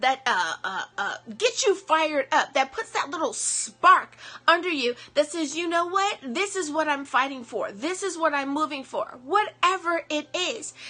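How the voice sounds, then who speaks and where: With music in the background, a woman with an American accent uses a raised, projected voice, high in pitch, animated in tone and lively in intonation, at a fairly slow pace. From US East Coast. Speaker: motivational speaker. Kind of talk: motivational talk.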